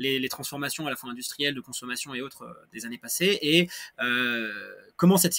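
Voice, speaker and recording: On a very clean recording with a silent background, a man speaks at a very fast pace. His tone is bright and sharp, with ordinary pitch variation. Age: 20s. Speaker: association co-founder. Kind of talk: podcast interview. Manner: halting, many hesitations and repetitions.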